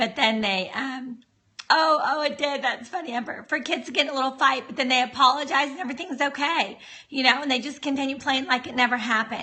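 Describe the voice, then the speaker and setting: A loud woman at a high pitch and a very fast pace. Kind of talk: livestream talk. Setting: live video stream. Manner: talking as loud as possible.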